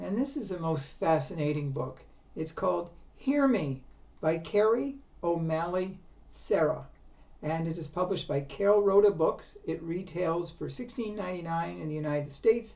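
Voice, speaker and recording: A woman's fairly low, dark and mellow voice with lively intonation at a moderate pace, in audible room echo. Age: 70s. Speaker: book reviewer. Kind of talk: book review. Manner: halting, many fillers.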